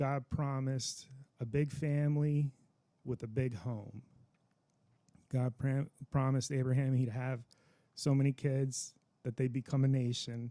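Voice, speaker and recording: A man talks at a fairly slow pace with long, frequent pauses, his medium pitch and fairly even intonation carrying a dark, mellow tone. The sound is dry and close with no echo. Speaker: veteran, religious teacher. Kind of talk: casual talk to camera.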